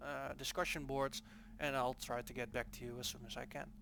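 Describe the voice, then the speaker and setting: This man talks at a fairly quick pace with a Dutch accent. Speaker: game developer. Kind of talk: gameplay tutorial. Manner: casual, hesitant with fillers.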